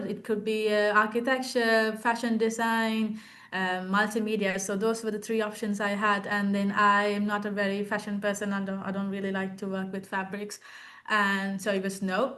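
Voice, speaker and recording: Speaking at a moderate pace, a woman has a bright, sharp tone and monotone, flat intonation. Audible room echo surrounds her voice. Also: medium pitch for a woman. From Sri Lanka. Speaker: architecture graduate and art teacher. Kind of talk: interview Q&A. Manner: halting with many fillers.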